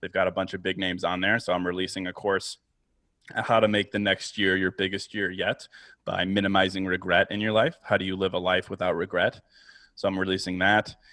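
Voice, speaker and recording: At a fairly quick pace, a man talks in a very deep, low pitch with monotone, flat intonation. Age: 30s. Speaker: podcaster and author. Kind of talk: interview conversation.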